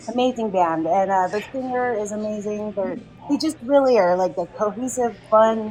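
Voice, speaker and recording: Music in the background behind a woman at a fairly high pitch, with a moderate pace and ordinary pitch variation. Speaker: community event organizer. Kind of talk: casual interview chat. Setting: live podcast at a restaurant. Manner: animated.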